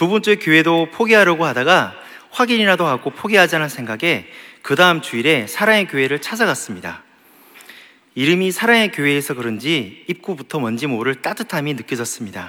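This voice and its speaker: Very wide pitch swings run through this man's speech. He talks at a fairly quick pace. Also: fairly high pitch for a man. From Gyeongsang region, South Korea. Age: 30s. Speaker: office worker giving church testimony. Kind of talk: testimony. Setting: church.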